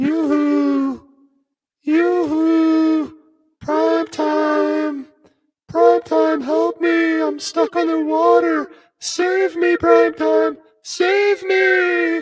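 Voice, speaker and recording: A put-on character voice delivers the lines at a very slow pace. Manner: pleading.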